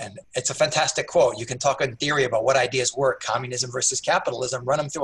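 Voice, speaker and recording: A man with an American accent talks very fast at a medium pitch. His voice is somewhat breathy and his intonation fairly even. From United States. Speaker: historian and rabbi. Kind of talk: interview answer. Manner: quick-paced, humorous.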